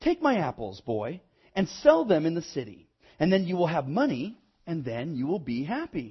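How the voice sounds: Putting on a character voice, a man speaks at a moderate pace with a fairly high pitch, very wide pitch swings and a husky, rough edge.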